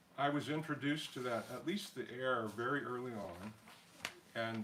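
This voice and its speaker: A man with an American accent talks at medium pitch and a moderate pace, with ordinary pitch variation. Noticeable background noise and audible room echo surround him. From US, Colorado (Denver area) from childhood. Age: 70s. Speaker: pianist. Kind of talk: spoken concert introduction. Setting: home concert with small audience, streamed online. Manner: hesitant, many fillers and repetitions.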